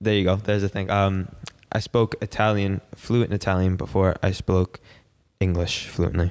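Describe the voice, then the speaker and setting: In a very clean recording with a silent background and a dry, close sound with no echo, a man with an American accent speaks at a moderate pace, fairly low in pitch, with monotone, flat intonation and very even loudness. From Long Island, New York. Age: 20s. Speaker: professional footballer. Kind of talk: casual chat.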